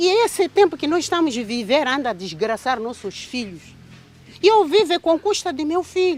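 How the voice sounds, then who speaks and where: Her high-pitched voice swings very widely in pitch. The woman talks at a moderate pace. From Mozambique. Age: 60s. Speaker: mother of victim, farmer. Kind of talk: emotional testimony.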